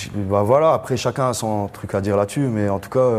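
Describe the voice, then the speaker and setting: Against noticeable background noise, a man speaks at a moderate pace with a fairly low pitch and fairly even intonation. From Algiers region, Algeria. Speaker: musician, band leader. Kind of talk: panel discussion. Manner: casual.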